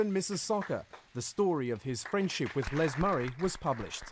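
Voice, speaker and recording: With a plain, everyday voice, a man speaks at a moderate pace using lively intonation. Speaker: documentary narrator. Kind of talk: documentary narration, scripted and solemn. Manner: measured, formal, steady.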